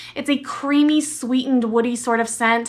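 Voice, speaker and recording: Here a woman talks in an animated tone. Her pitch is high. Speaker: beauty and fragrance vlogger. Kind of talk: product review vlog.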